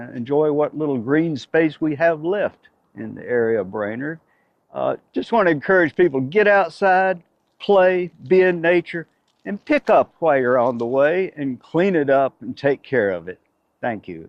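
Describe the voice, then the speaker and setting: A man with a Southern US accent and a fairly high pitch, with very wide pitch swings and big swings in loudness. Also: moderate pace. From US South, Chattanooga, Tennessee. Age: 70s. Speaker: conservation volunteer. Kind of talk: interview. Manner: halting, many fillers.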